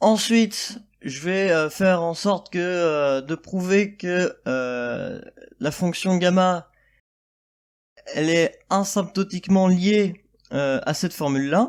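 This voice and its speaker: Speech comes at a very slow pace with long, frequent pauses in a very clean recording with a silent background. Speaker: math tutor. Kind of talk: math lecture explanation. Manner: hesitant, stammering with many fillers.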